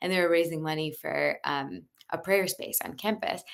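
A woman with an American accent and a very deep, low pitch, vocal fry, a moderate pace, and a very clean recording over a silent background. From US Midwest (Cleveland, Ohio). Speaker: entrepreneur. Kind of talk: interview.

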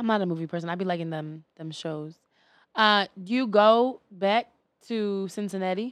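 An animated woman's voice of medium pitch in an American accent, at a moderate pace with ordinary pitch variation. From US East Coast. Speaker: podcast guest. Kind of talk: casual chat.

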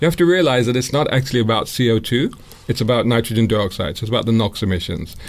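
Talking at a very fast pace, a man with a London accent has a medium pitch. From London (Islington). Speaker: motoring journalist and YouTuber. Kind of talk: radio interview. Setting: radio studio.

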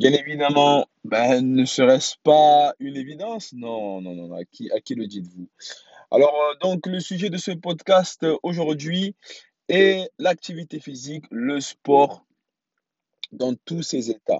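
Speaking at a very slow pace, a man has a fairly high pitch. His voice swings very widely in pitch. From France. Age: 30s. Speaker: podcast host, father. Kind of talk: solo podcast monologue. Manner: halting, many fillers and restarts.

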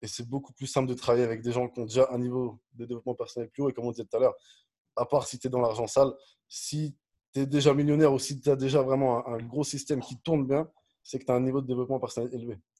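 With a dark, mellow tone, a man talks at a very fast pace and a medium pitch. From France, Dijon (Burgundy). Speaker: business coach. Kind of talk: interview conversation. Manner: energetic, animated; direct, blunt.

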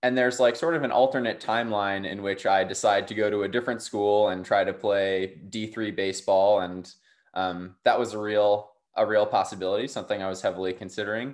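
A plain, everyday voice from a man with an American accent, fairly low pitch, fairly quick pace, fairly even intonation, and a quiet background. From Durham, North Carolina. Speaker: ultimate frisbee player. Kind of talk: casual interview.

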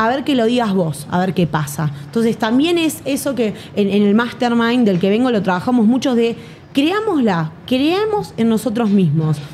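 Over noticeable background noise, a woman talks at a moderate pace and fairly high pitch, with very wide pitch swings but very even loudness. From Buenos Aires, Argentina. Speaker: affiliate marketer and entrepreneur. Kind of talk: interview. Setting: studio in Medellín.

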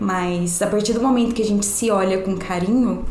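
In a room with audible echo and noticeable background noise, a woman talks at a moderate pace and a medium pitch, with fairly even intonation. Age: 20s. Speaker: meditation and yoga teacher. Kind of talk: casual interview chat.

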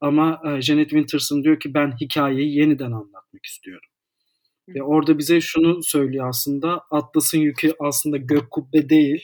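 A man with an ordinary speaking voice talks at a moderate pace, his fairly high pitch following fairly even intonation. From Istanbul, Turkey. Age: 30s. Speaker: editor and psychology student. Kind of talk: casual interview chat.

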